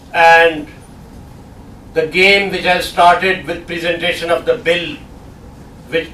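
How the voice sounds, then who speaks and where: A man talks at a fairly slow pace. His voice is high-pitched, and the room echo is audible. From Pakistan. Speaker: guest lecturer. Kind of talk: lecture.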